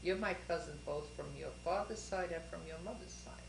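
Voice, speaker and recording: A woman with a New York accent at a moderate pace, amid noticeable background noise and audible room echo. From Brooklyn, New York. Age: 70s. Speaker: family elder interviewed. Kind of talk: family history interview.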